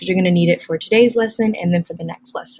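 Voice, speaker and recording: A quiet, somewhat breathy woman speaks at a medium pitch with ordinary pitch variation. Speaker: science teacher. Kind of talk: recorded lesson. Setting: classroom.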